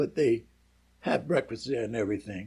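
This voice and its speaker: Somewhat breathy and dark, mellow in tone, a man's medium-pitched voice carries lively intonation. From US Northeast, Philadelphia. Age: 90s. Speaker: war veteran. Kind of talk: casual interview. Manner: halting.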